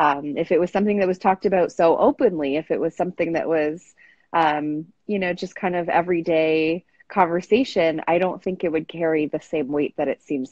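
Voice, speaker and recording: A woman with an American accent has an ordinary speaking voice with a fairly low pitch. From US or Canada. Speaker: sex therapist and psychologist. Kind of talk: interview on a live stream.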